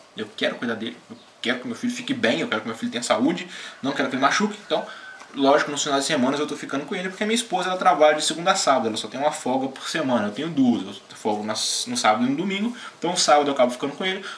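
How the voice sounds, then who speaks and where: Over light background noise, a man with a fairly high pitch talks at a very fast pace, his voice making very wide pitch swings. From Brazil. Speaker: gaming YouTuber; vlogger. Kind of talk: casual vlog. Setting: home. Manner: animated. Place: home room. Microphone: webcam.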